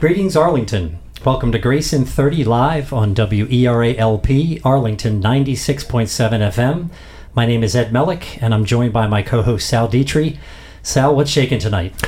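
With lively intonation and a somewhat breathy sound, a man at medium pitch speaks at a moderate pace and a very even loudness. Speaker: radio host. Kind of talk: radio talk show hosting. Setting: radio studio broadcast.

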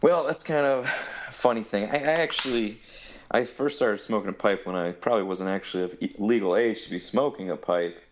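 A man speaks at a fairly quick pace. He has a Midwestern American accent. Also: medium pitch for a man, lively intonation. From Ohio. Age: 30s. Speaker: pipe maker. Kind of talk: casual interview. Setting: phone call.

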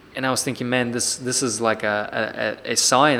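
In a Russian accent, a man speaks at medium pitch and a moderate pace. His intonation stays monotone and flat. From Siberia, Russia (Irkutsk). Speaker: personal trainer. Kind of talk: interview.

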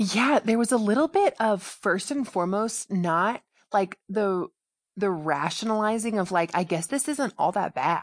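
Speaking fairly slowly, a woman uses a plain, everyday voice at medium pitch. Her loudness stays very even while her intonation is lively. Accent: American. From US South, Georgia. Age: 20s. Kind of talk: book plug; testimony.

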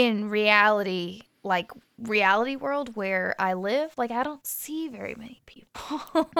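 Ordinary pitch variation marks a woman's plain, everyday voice at medium pitch. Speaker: podcast co-host. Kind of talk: casual chat.

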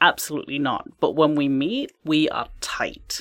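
In a very clean recording with a silent background, a woman with an English accent speaks at a moderate pace in a very deep, low pitch. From England. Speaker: life and career coach. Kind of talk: casual interview.

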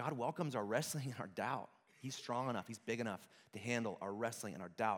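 This man speaks fairly quickly in an ordinary speaking voice. The pitch sits in the middle range and rises and falls by an ordinary amount. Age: 30s. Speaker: worship pastor. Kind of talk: sermon.

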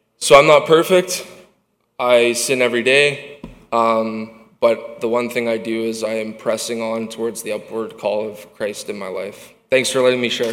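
In a room with audible echo, a speaker with a Canadian accent talks at a moderate pace, with ordinary pitch variation and big swings in loudness. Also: man, medium pitch for a man. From Winnipeg, Manitoba, Canada. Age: 20s. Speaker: recovery program student. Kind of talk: personal testimony. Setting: church stage with audience.

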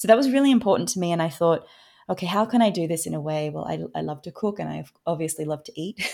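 Speaking at a very fast pace in an Australian accent, a woman has a fairly low pitch and a dark, mellow tone. Her loudness swings widely, and the recording is very clean with a silent background. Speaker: author and food systems educator. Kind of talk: interview conversation.

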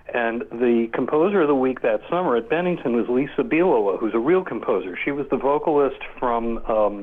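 A man with a fairly high pitch and lively intonation at a moderate pace over noticeable background noise. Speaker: composer. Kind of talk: casual interview.

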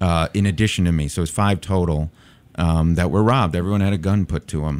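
The speaker has an American accent and talks at a moderate pace. Pitch variation is ordinary. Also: man. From Chicago. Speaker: political candidate, public defender. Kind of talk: radio interview. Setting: studio.

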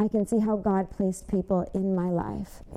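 This woman has a Michigan accent. She talks at a moderate pace. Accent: Midwestern US (Michigan). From Michigan, Westland. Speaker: church member giving testimony. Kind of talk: testimony.

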